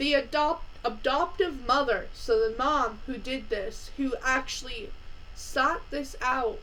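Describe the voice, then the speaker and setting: The voice is raised and projected, with lively intonation at a very slow pace. Room echo is audible. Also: woman, high pitch for a woman. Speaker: true crime youtuber. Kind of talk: casual true crime narration. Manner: halting.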